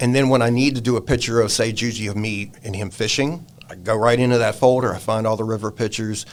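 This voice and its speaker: Someone speaks at a very fast pace with an American accent and fairly even intonation. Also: man. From Virginia, US South. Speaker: pet photographer. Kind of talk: casual chat. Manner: casual, halting.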